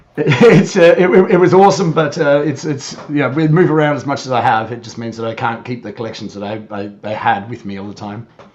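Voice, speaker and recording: A man in an Australian accent, fairly high-pitched and fairly quick, with hardly any pauses, very wide pitch swings, big swings in loudness and noticeable background noise. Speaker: YouTuber, guest on podcast. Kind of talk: casual chat. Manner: halting, many repetitions.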